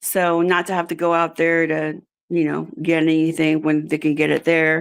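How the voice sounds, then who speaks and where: In a Spanish accent, a woman with a fairly low pitch talks at a moderate pace on a very clean recording with a silent background. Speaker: job candidate, executive assistant. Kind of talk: interview. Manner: halting, many fillers.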